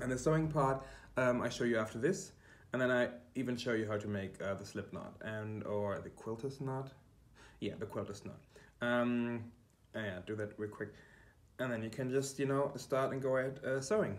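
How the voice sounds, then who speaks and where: Pausing long and often, a man with a German accent speaks amid audible room echo. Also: medium pitch for a man, ordinary pitch variation, moderate pace. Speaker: quilting YouTuber. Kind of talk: tutorial. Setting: kitchen. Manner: halting, many fillers. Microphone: poor room acoustics.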